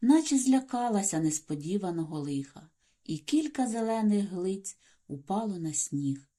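Lively intonation in plain reading aloud

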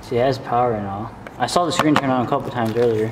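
A man speaks at a fast pace with a medium pitch and ordinary pitch variation. Faint background noise can be heard.

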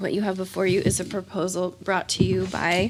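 A woman keeps a moderate speed, with noticeable background noise present. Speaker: school board committee chair. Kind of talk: committee meeting chairing.

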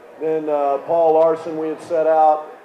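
A man talks with light background noise behind him and noticeable echo from the room. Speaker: basketball coach. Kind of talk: interview answer. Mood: relaxed, storytelling, amused. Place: bar. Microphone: handheld.

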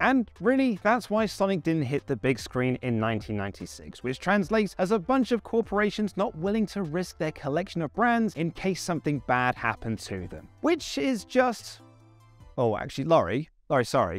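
Faint music plays behind a man speaking at a high pitch, the sound dry with no echo. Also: moderate pace. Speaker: presenter. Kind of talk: documentary narration to camera. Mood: comic flustered aside. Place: hall. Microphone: lapel.

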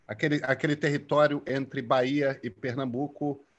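A man talks in an ordinary speaking voice, fairly high in pitch and at a moderate speed. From Brazil, Rio de Janeiro. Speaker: journalist and author. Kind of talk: interview. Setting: video call. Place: home room. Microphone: video call.

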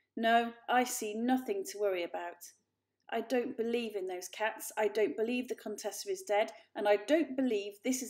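Reading aloud in a natural voice, set against a quiet background

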